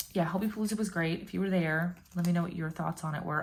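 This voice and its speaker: Over noticeable background noise, a woman speaks very fast at a fairly low pitch with fairly even intonation. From Puerto Rican background. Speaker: YouTuber, K-pop fan. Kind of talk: casual vlog chat.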